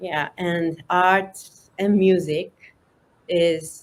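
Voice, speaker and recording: A woman speaks with a Japanese accent and a fairly low pitch. Her intonation stays fairly even. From northern Japan. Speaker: artist. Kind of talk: interview.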